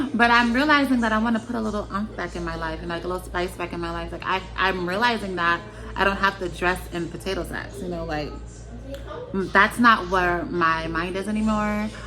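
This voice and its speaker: A woman speaks in a relaxed tone at a fairly quick pace. Music plays behind her, and the room echo is audible. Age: 30s. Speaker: vlogger sharing personal experiences. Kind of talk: casual personal vlog. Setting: at home with children nearby. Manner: relaxed, many filler words.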